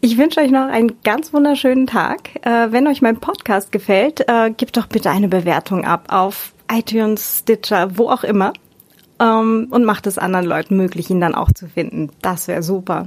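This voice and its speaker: Lively intonation shapes speech that proceeds at a moderate pace. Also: woman, fairly high pitch for a woman. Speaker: podcast host. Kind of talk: casual chat. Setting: in-person group recording. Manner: smiling tone.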